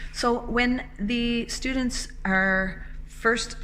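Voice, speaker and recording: A woman's medium-pitched voice moves with lively intonation as noticeable background noise plays behind it. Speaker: elementary music teacher. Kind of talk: instructional talk to camera.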